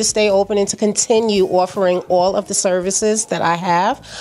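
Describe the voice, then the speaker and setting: A woman with a New York accent, medium pitch, and a very fast pace. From Brooklyn, New York (Flatbush). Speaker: small business owner. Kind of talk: interview. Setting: at her store during grand opening. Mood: warm, promotional. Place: shop. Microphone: handheld.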